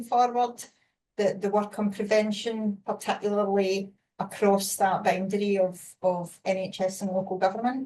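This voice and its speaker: Speaking with a Scottish accent, a woman uses a medium pitch and ordinary pitch variation. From Scotland. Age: 50s. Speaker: webinar moderator. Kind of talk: panel discussion.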